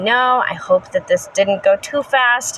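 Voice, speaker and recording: Over noticeable background noise, a woman talks at a fairly slow pace with an energetic tone. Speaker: pagan spiritual vlogger. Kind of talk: casual educational talk.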